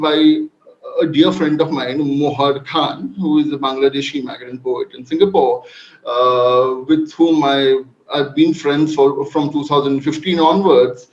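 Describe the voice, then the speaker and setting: With a Bengali accent, a man speaks at a fairly high pitch with ordinary pitch variation. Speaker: panel speaker, migration researcher. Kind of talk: academic panel presentation. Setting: online video event. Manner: halting, many fillers.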